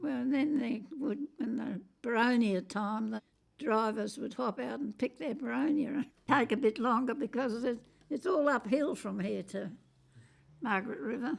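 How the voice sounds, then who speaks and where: Her pitch is high, with ordinary variation. The woman keeps a moderate pace. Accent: Australian. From Western Australia. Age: 80s+. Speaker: interviewee. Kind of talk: oral history interview. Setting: at her home.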